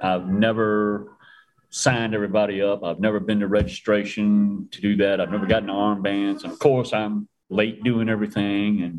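With music in the background, a man speaks at a moderate pace. His fairly low voice has monotone, flat intonation. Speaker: racing tech expert and driver. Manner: storyteller, folksy.

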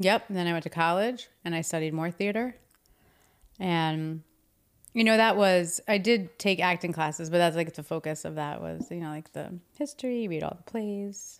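A woman with an American accent has a normal speaking voice at a fairly low pitch, with ordinary pitch variation and big swings in loudness. She talks at a moderate pace in a very clean recording with a silent background. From New Jersey. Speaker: stage and screen actor, acting teacher. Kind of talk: casual interview chat.

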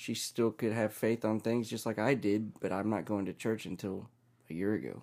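A man with a normal speaking voice talks at a fairly low pitch, a moderate pace and fairly even intonation. The recording is very clean, with a silent background. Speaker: podcast guest. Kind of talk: casual interview.

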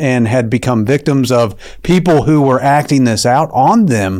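With an American accent, a man talks at a moderate pace and medium pitch with ordinary pitch variation. His is an unremarkable speaking voice. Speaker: state senator. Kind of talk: interview. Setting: studio.

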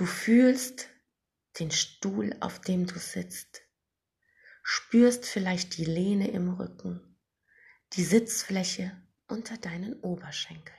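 Calm and gentle in tone, a woman's somewhat breathy voice moves at a very slow pace. Her speech has long, frequent pauses. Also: medium pitch for a woman, ordinary pitch variation, big swings in loudness. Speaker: meditation guide podcaster. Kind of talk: guided meditation. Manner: slow, soft, soothing; calm, gentle, hypnotic pacing with long pauses.

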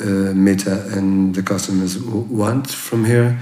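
A man's fairly low voice, with audible room echo. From Portugal, near Porto. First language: Portuguese. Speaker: chef. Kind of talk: interview. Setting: former bank safe room. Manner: halting, many fillers and repeats.

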